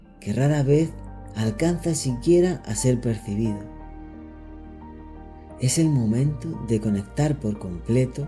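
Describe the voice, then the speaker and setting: Over background music, a calm, soothing voice moves at a very slow pace, with long, frequent pauses. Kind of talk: guided meditation narration. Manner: calm, slow, soothing.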